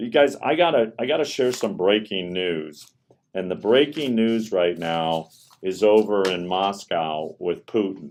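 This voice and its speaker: Speaking with an American accent, a man with an unremarkable speaking voice and a fairly low pitch talks at a fairly slow pace with lively intonation. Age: 60s. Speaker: livestream host. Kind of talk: live stream commentary on news. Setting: live stream.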